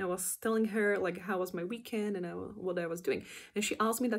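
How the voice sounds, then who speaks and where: Her voice sits at a medium pitch for a woman, with fairly even intonation. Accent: non-native. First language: not English. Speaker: animator. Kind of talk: casual vlog explanation. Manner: hesitant, with many fillers.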